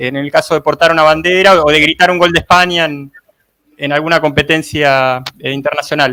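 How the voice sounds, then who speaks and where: Fairly high male voice, bright and sharp in tone, with fairly even intonation, a moderate pace, and a dry, close sound with no echo. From Argentina, Buenos Aires. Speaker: life coach and reporter. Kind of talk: live online panel discussion.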